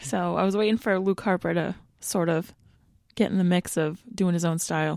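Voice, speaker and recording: A woman with an ordinary speaking voice talks at a moderate pace and a fairly low pitch, with ordinary pitch variation and very even loudness. The recording is very clean with a silent background. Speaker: wrestling podcast co-host. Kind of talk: casual chat, podcast.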